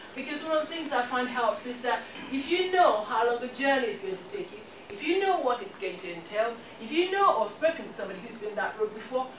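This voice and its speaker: Speaking at a fairly quick pace, a woman with a high voice is heard against noticeable background noise. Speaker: guest. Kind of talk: motivational talk. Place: classroom. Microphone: camera far.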